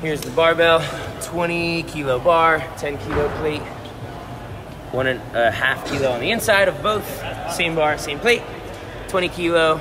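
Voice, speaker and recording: A man at a fairly slow pace with ordinary pitch variation over noticeable background noise. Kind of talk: casual vlog chat. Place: gym. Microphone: phone near.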